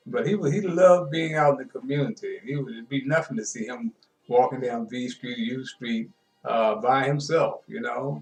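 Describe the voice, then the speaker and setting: Lively intonation marks this moderate-paced speech, with music in the background. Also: man, fairly high pitch for a man. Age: 70s. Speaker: sports show host. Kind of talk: casual storytelling monologue. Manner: halting, many fillers.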